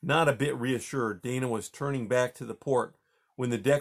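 In a natural reading voice with fairly even intonation, the speaker reads over a quiet background.

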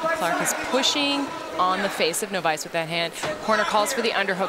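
Against crowd noise in the background, a woman speaks at a fairly quick pace with a medium pitch and very wide pitch swings. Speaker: color commentator. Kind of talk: live sports commentary. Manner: analytical, fluent, technical play-by-play.

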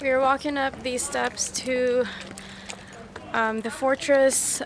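A woman with a high-pitched voice talks at a very slow pace and in a fairly even tone, with noticeable background noise and a dry sound with no echo. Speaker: travel vlogger. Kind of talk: casual vlog chat. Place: waterside. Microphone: phone near.

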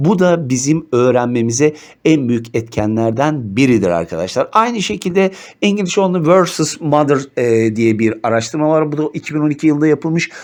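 The delivery is animated, with lively intonation, a moderate pace and very even loudness over a quiet background. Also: man, fairly high pitch for a man. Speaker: teacher. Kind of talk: lecture.

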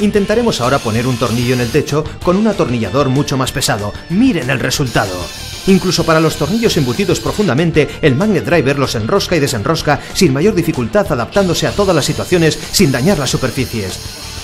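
Music plays in the background as a man speaks in an upbeat tone at a fairly quick pace. His fairly high pitch makes very wide swings. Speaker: voice actor. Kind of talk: TV shopping commercial read. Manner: upbeat, persuasive.

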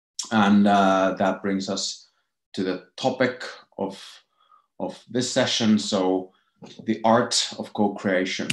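Very slow speech from a man at a fairly low pitch, fairly even in intonation, with long, frequent pauses, a quiet background, and audible room echo. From Finland. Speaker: innovation expert, lecturer. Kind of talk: lecture. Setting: video call. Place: home room. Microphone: headset.

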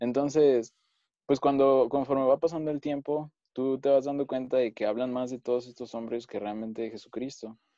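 A man's medium-pitched voice, dark and mellow in tone, with fairly even intonation and a moderate pace, in a dry sound with no echo against a quiet background. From Mexico City. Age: 20s. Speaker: engineering student, former church member; podcast panelist. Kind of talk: panel discussion. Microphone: earbuds.

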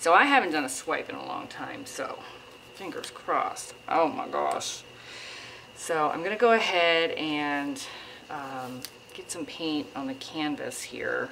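A woman speaks at a fairly slow pace, her loudness swinging widely. There is light background noise. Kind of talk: tutorial. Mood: relaxed, hopeful. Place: home room.

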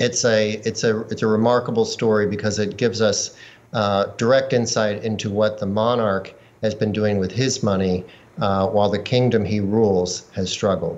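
This man talks at a moderate pace. His pitch is fairly low and his intonation fairly even. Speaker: investigative journalist. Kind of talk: news interview. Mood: calm, serious. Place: home room. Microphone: video call.

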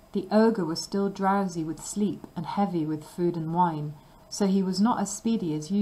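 The words are read out loud in a natural voice.

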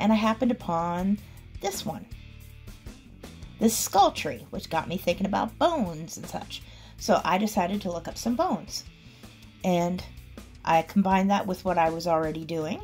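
Faint music plays in the background as a woman talks at a moderate pace. Her pitch varies in an ordinary way, with long, frequent pauses. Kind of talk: process commentary voice-over.

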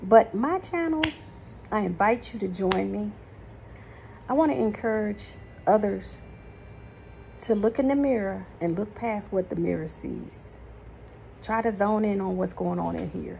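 The speaker goes at a fairly slow pace with long, frequent pauses over light background noise. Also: woman. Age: 50s. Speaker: vlogger giving faith-based encouragement. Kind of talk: casual monologue to camera. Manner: animated. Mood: warm, encouraging. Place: home room. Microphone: phone near.

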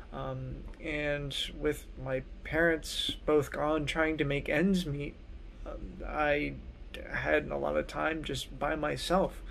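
Over light background noise, a man speaks at a very slow pace with long, frequent pauses. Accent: American. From US Northeast (southern New Jersey). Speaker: music fellow, trumpet player and mentor. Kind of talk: personal introduction video. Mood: calm, reflective. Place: home room. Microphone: phone near.

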